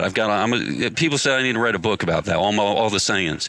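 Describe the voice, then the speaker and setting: Ordinary pitch variation and a bright, sharp tone mark this voice with an American accent. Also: man. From upstate New York. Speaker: lawn care business owner and mentor. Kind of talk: motivational interview. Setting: live industry event. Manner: intense and passionate.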